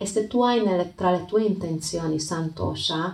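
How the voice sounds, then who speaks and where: A woman with a non-native accent, calm and gentle in tone, at a fairly slow pace. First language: not Italian (speaking Italian). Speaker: yoga teacher and podcast host. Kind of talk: reflective talk with storytelling. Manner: halting, with hesitations and repeats; calm, gentle.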